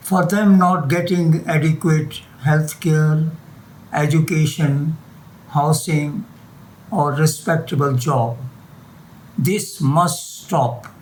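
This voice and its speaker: A man with a fairly high pitch speaks at a very slow pace with long, frequent pauses, very even loudness and ordinary pitch variation. Noticeable background noise runs underneath. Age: 80s+. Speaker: retired doctor. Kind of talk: interview; reading aloud.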